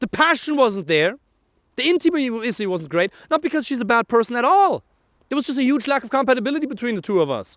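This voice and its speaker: A man with a German accent talks at a very fast pace, his pitch extremely high and swinging very widely. His tone is animated, and the sound is dry and close with no echo. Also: very clean recording, silent background. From Germany. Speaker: dating coach. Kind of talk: motivational talk to camera.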